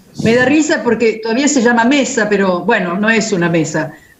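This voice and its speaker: With noticeable background noise and audible room echo, a woman speaks at a moderate pace in a fairly high pitch. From Italy. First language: Italian (speaking Spanish). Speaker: philosophy professor. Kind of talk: panel discussion.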